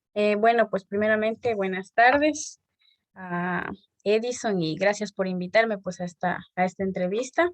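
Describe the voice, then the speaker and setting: A woman speaks in a plain, everyday voice at a medium pitch. Her pace is fairly slow, and the sound is dry and close with no echo. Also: ordinary pitch variation. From Ecuador, El Chaco (Napo). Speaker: church member. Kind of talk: interview.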